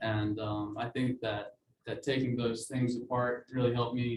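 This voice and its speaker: Somewhat breathy and monotone, a man speaks at a medium pitch with flat intonation. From Alabama (Mobile). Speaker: design student. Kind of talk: student presentation. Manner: many fillers (uh, um).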